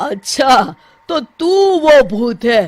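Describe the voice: A woman does a cartoonish character voice, fairly high-pitched with lively intonation. She talks at a very slow pace.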